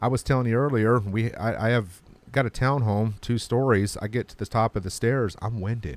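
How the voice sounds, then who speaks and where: At a moderate pace, a man with a plain, everyday voice speaks in a medium pitch with fairly even intonation and big swings in loudness. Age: 40s. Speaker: podcast host. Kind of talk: casual chat.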